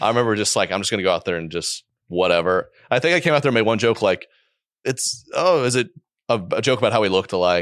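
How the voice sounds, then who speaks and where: A man's medium-pitched voice at a very fast pace, with lively intonation and a quiet background. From Oklahoma. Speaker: comedian. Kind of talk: casual chat.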